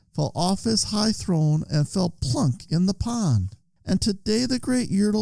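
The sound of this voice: Reading voice, unforced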